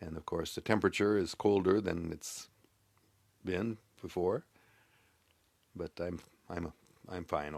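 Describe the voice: A man puts on a character voice that is hoarse and very deep, speaking at a moderate pace with long, frequent pauses.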